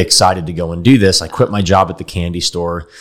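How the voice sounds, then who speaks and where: A man with an American accent talks at a fairly quick pace in an unremarkable speaking voice. His intonation stays fairly even. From Texas, Dallas. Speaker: company founder and CEO. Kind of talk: interview.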